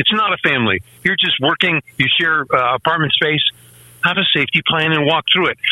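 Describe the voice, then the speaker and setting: At a fairly quick pace, a man with a plain, everyday voice speaks at a fairly high pitch, with ordinary pitch variation and very even loudness. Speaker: gun rights writer and podcaster. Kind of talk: radio interview. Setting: remote call-in.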